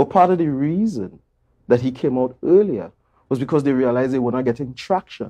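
A man's intonation is lively as he speaks at a medium pace, with little sound behind him. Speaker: interview guest. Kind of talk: interview answer. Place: studio. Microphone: lapel.

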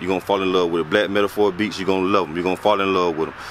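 Monotone, flat intonation comes through a dry sound with no echo over light background noise. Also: man. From Griffin, Georgia, US South. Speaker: community organizer. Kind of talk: casual vlog address to camera. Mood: earnest, advocating for hometown. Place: street. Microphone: phone near.

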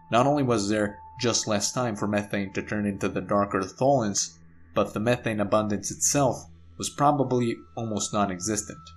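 Music sits behind a man talking at a moderate pace with a fairly low pitch and ordinary pitch variation. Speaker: science channel narrator. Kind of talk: educational narration.

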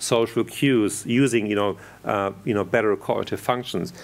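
Ordinary pitch variation at a moderate pace. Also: man. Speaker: conference speaker. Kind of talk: lecture. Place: hall.

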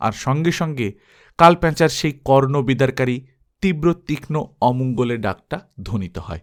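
A quiet background behind someone reading aloud in a natural voice, pitch varying in an ordinary way

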